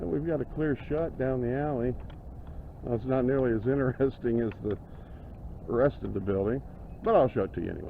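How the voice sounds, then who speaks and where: A man in an American accent, medium in pitch with ordinary pitch variation, at a fairly quick pace with long, frequent pauses. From Indiana, US Midwest. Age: 60s. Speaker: paranormal video host and horror writer. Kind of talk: walking video tour narration. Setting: outdoors on a city street. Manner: halting, with repeated words.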